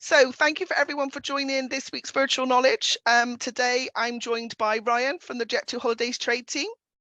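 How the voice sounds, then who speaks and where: An upbeat woman's raised, projected voice, bright and sharp in tone, with a dry, close sound and no echo. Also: moderate pace, quiet background. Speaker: travel trade webinar host. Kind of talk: webinar presentation.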